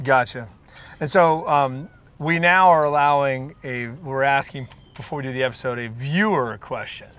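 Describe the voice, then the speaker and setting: Talking at a moderate pace, a man with an unremarkable speaking voice sits at a fairly high pitch, with ordinary pitch variation and big swings in loudness. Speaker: mortgage loan officer, branch manager. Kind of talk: casual interview host questions.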